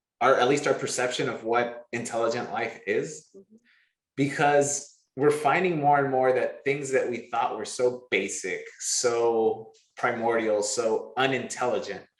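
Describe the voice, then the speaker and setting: At a fairly slow pace and medium pitch, a man uses an unremarkable speaking voice with fairly even intonation. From Los Angeles, California. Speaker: NASA mechanical engineer. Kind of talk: oral history interview answer. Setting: recorded interview.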